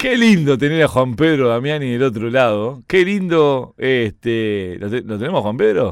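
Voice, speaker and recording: A man with a Uruguayan accent speaks at a fairly slow pace with hardly any pauses, using a medium pitch and lively intonation. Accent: Rioplatense Spanish (Uruguayan). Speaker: sports radio host. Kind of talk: casual chat. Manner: animated.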